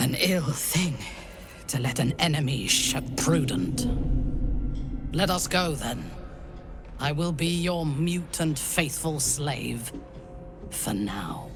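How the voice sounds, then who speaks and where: Someone in a put-on character voice speaks at a very slow pace with a low-to-middle pitch against loud background noise. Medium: machinima. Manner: proud, measured, cold.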